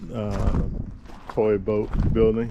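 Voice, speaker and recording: A man talks in a space with audible room echo and noticeable background noise. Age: old. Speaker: vlogger, veteran. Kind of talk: travel vlog walkthrough. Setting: outdoors at a beach park. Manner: loud, carrying.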